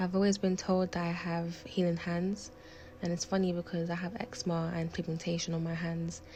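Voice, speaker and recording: A woman's fairly low voice with a London accent at a fairly quick pace, over noticeable background noise. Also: fairly even intonation. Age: 20s. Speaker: lifestyle vlogger. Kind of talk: personal vlog narration.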